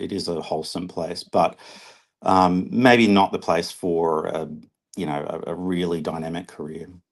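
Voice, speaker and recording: In an Australian accent, the speaker keeps a moderate pace and fairly even intonation against a quiet background. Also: man. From Australia, Brisbane. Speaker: artist. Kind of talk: interview. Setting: online live stream.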